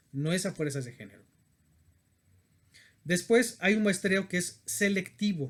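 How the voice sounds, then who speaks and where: This man talks in a high pitch. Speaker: university lecturer. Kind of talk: lecture. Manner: halting.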